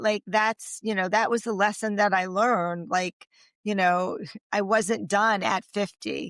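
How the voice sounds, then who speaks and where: In a very clean recording with a silent background, a woman talks at a fairly slow pace with ordinary pitch variation. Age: 60s. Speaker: intimacy coach and author. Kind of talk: interview conversation. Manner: hesitant, filler-heavy.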